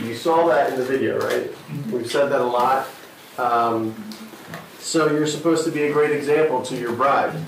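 A man talks with ordinary pitch variation. Light background noise and audible room echo are present. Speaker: pastor. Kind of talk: sermon. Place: stage.

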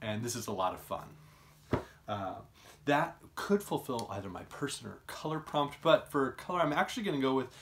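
There is light background noise as a man speaks at a moderate pace. His pitch swings very widely. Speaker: book vlogger. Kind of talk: casual vlog chat. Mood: cheerful, enthusiastic. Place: home room. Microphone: phone near.

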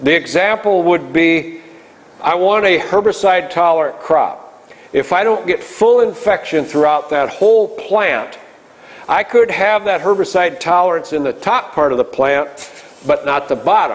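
A man with an Upper Midwest accent speaks at a high pitch and a moderate pace, his loudness very even. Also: ordinary pitch variation. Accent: Upper Midwest American. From northwest Iowa, USA. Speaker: farmer and crop nutrition advisor. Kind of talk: public lecture. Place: meeting room.

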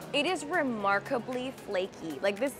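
Clear music plays behind the speech. The voice belongs to a woman. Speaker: food travel host. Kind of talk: casual vlog chat. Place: street. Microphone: lapel.

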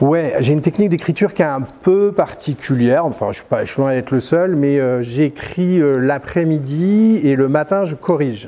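A man talks at a moderate pace with hardly any pauses. His pitch varies in an ordinary way. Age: 50s. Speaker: novelist; interviewee. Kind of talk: interview. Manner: hesitant, with frequent fillers. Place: hall.

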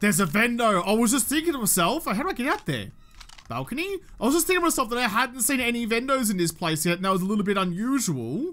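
A man with an Australian accent at an extremely high pitch, with very wide pitch swings and a very fast pace. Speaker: gaming YouTuber. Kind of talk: let's play commentary. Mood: playful, mildly frustrated. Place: home room. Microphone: studio mic.

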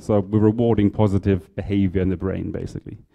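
Very fast speech from a man with a fairly low pitch and a dark, mellow tone, over a quiet background. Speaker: presenter. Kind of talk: lecture. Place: hall.

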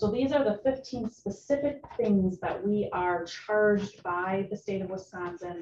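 A somewhat breathy woman speaks with ordinary pitch variation over noticeable background noise. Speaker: presenter. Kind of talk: presentation to committee. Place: meeting room.

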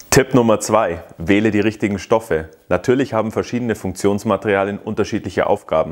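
A man's plain, everyday voice, fairly low-pitched, at a fairly quick pace with fairly even intonation over a quiet background. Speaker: ski school instructor. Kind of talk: tutorial. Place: workshop.

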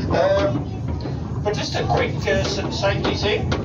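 A man is speaking. There is loud background noise. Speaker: boat crew guide. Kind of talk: safety briefing to passengers. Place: boat. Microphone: camera far.

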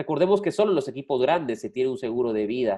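Against a quiet background, a man's voice with a dark, mellow tone moves through very wide pitch swings. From Guatemala. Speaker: sports journalist and podcast host; sports journalist, podcast host. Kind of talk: casual sports talk show. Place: home room. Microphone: video call.

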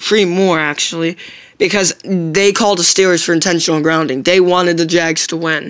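Against a quiet background, a woman speaks in a flat monotone at a fairly low pitch. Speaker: sports fan vlogger. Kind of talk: angry sports rant to camera. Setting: solo video recording. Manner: ranting, indignant, repetitive, stumbling over words; emphatic, complaining. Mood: frustrated, complaining about referees. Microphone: phone near.

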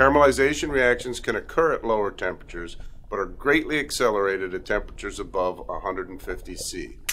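With music in the background, a man delivers his words fairly quickly. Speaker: culinary instructor. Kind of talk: lecture.

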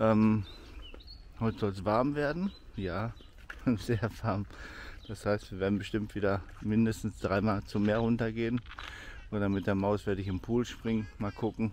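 With a fairly low pitch and fairly even intonation, a man talks at a moderate pace with long, frequent pauses, in a dry sound with no echo over light background noise. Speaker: vlogger. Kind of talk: casual vlog chat. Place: open country. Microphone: phone near.

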